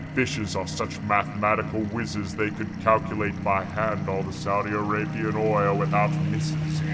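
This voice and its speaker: A man's put-on character voice at a moderate pace, hardly any pauses, over loud background noise. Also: fairly low pitch for a man. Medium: stage play. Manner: pompous, condescending, rhyming declamation.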